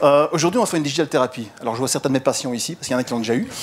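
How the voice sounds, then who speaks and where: A man talks with lively intonation while noticeable background noise runs underneath. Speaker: digital marketing consultant and lecturer. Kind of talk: conference talk. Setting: stage with audience. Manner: fast; energetic.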